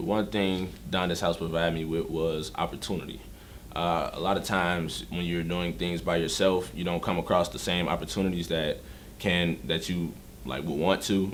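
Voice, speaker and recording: A man speaks with a very deep, low pitch, vocal fry and an American accent. His intonation is fairly even. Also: moderate pace. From Chicago suburbs, Illinois. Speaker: rapper. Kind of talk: documentary interview.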